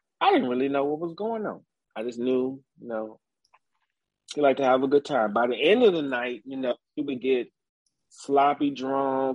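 At a moderate pace, a plain, everyday voice speaks with an American accent. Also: man. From rural Virginia, Nelson County. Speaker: barber, former Marine. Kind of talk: interview, personal life story.

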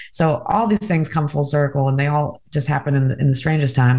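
The delivery is somewhat breathy, with fairly even intonation. It moves at a fairly quick pace. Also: woman. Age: 30s. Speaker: vacation rental marketing executive and podcaster. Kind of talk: casual chat.

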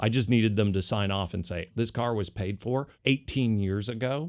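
A man talks in a normal speaking voice at a fairly low pitch. His pitch variation is ordinary. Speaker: podcast co-host. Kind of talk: casual chat. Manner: casual, joking.

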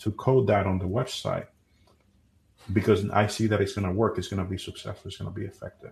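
Against a quiet background, a man with a Spanish accent talks in a somewhat breathy voice. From Dominican Republic. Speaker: SEO company CEO. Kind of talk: interview. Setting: live stream.

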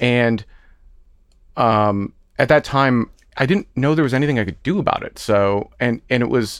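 Ordinary pitch variation runs through a man's medium-pitched voice. He talks at a fairly quick pace. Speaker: transgender guest sharing personal story. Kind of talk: casual heart-to-heart interview. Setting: studio.

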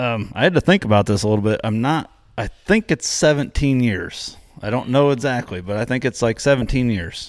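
The recording is very clean with a silent background. A man talks at a fairly quick pace with lively intonation. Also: medium pitch for a man. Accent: Midwestern American. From US Midwest, northern Indiana. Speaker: high school football coach. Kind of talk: casual interview.

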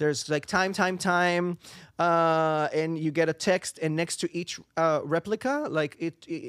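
Speech comes at a fairly slow pace with fairly even intonation and a dry, close sound with no echo. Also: man. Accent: Israeli. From Israel. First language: Hebrew. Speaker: singer and voice actor. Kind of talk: casual interview. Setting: studio. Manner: halting.

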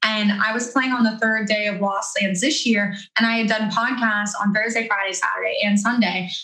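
A woman with an American accent and a fairly high pitch talks at a moderate pace with hardly any pauses. Her intonation stays fairly even, with audible room echo and noticeable background noise. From Florida. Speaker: podcast host and DJ. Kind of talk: casual chat. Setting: video call.

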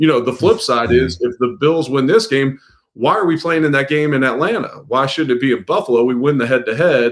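With an American accent, a man has an unremarkable speaking voice, fairly high in pitch, with lively intonation at a fairly quick pace. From Cincinnati, Ohio. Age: 30s. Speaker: sports reporter covering an NFL team. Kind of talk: podcast interview.

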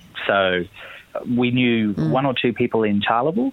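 Against noticeable background noise, a man with an Australian accent talks at a fairly quick pace. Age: 30s. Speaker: journalist and author. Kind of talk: interview.

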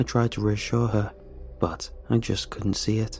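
A man speaks in a dramatic tone over noticeable background noise. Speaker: horror story narrator. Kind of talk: ghost story telling, first-person horror narration. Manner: hushed, tense, dramatic, with halting voices for characters.

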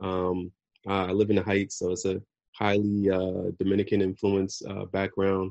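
Against a quiet background, a man speaks at a moderate pace in a fairly low voice. His intonation stays monotone and flat. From US Northeast, New Jersey. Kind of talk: casual chat. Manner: halting, many fillers.

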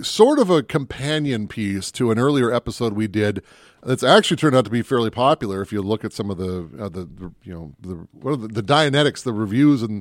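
A plain, everyday voice: a man at medium pitch with an American accent, fairly quick pace, ordinary pitch variation and big swings in loudness, on a very clean recording with a silent background and a dry, close sound with no echo. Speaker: movie podcast host. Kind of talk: casual banter podcast chat about movies. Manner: joking, playful.

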